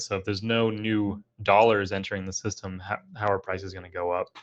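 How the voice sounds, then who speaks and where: A man speaks at a fairly quick pace with fairly even intonation and a fairly low pitch. The background is quiet. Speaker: crypto guest, aerospace engineer in defense industry. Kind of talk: casual podcast interview. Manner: fast.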